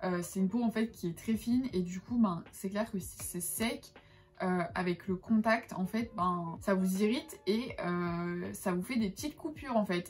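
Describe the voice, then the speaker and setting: A woman's somewhat breathy voice at a medium pitch, fairly slow pace and ordinary pitch variation. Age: 20s. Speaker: lifestyle vlogger. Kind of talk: casual talk to camera.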